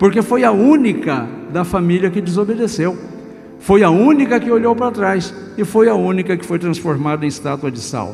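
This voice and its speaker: Against music in the background, a man with a high-pitched voice talks at a moderate pace with lively intonation. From Brazil, São Paulo state. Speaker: Presbyterian pastor; trained radio and TV announcer. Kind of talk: sermon preached to a congregation.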